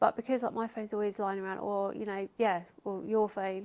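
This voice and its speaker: Soft-spoken, a woman talks at a moderate pace with monotone, flat intonation. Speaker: fitness YouTuber. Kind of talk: casual chat.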